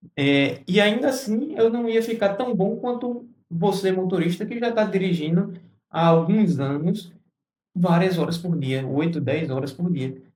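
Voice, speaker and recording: Audible room echo surrounds a man speaking at a high pitch with lively intonation. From Brazil, Recife, Pernambuco. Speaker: TVDE fleet operator and YouTuber. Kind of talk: casual vlog talk to camera. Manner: halting, many fillers and restarts.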